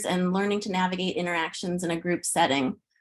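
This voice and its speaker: A woman speaks with a Chicago accent. Her pace is fairly quick. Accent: Chicago-area American. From US Midwest, Chicago suburbs. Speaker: pre-K teacher. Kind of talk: presentation.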